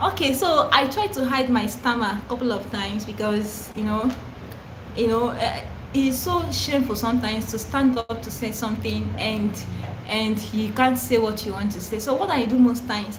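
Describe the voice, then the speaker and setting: Over noticeable background noise and audible room echo, a woman with a Nigerian accent speaks at a fairly high pitch with ordinary pitch variation. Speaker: content creator who stammers. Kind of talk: live stream Q&A. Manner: stammers, repetitions and fillers; casual, chatty.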